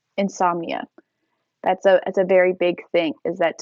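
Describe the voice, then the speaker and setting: A plain, everyday voice from a woman, medium-pitched, fairly even in intonation, at a moderate pace. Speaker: teacher. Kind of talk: casual story time.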